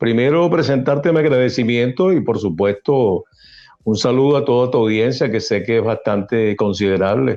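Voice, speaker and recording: A man with a Venezuelan accent, medium pitch and lively intonation. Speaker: radio announcer. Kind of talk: interview answer.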